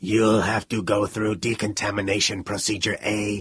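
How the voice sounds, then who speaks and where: A put-on character voice growls at a moderate pace. The intonation stays monotone and flat. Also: man, fairly low pitch for a man. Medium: read story. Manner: calculating monotone.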